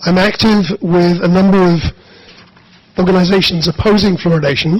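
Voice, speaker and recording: At a fairly quick pace, a man talks with a high pitch and fairly even intonation. Noticeable background noise runs underneath. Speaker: activist. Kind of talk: public comment presentation. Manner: formal.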